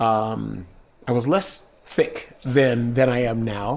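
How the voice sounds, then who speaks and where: A man's medium-pitched voice with a Southern Californian accent and ordinary pitch variation. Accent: general American, Southern Californian. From San Diego, California. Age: 50s. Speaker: retired police officer. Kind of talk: casual interview recollection.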